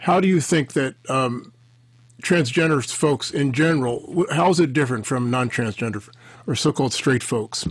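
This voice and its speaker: Against a quiet background, a man with a somewhat breathy, fairly high voice talks at a moderate pace with ordinary pitch variation. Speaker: podcast host. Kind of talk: interview. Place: office.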